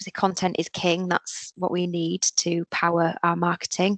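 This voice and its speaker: In a Yorkshire accent, a woman speaks at a medium pitch and moderate pace. The background is quiet. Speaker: digital marketing agency professional. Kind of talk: careers webinar presentation. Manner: casual with frequent fillers.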